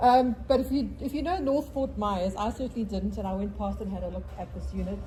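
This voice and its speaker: Speaking at a moderate pace in a South African accent, a woman is heard with noticeable background noise and audible room echo. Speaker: real estate agent. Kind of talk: property presentation at a real estate meeting.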